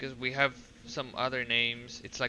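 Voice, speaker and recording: A man's bright, sharp tone with a Russian accent. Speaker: video game streamer. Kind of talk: casual chat. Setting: live stream. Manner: halting.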